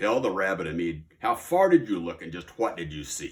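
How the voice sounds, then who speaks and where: A man growls in a put-on character voice with a very deep, low pitch, at a moderate pace. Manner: growling.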